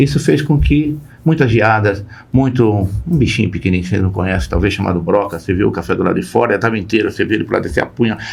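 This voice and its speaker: At a very fast pace, a man talks in a fairly low, somewhat breathy voice with lively intonation. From Brazil, interior of Paraná, then São Paulo. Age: 70s. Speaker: company founder and board advisor. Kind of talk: podcast interview. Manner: halting, with repetitions.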